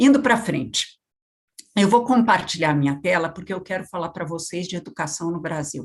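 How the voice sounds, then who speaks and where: Somewhat breathy delivery at a moderate pace, with lively intonation. Loudness swings a lot. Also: woman, fairly low pitch for a woman. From Brazil, São Paulo. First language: French (speaking Portuguese). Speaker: education policy expert. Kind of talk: lecture.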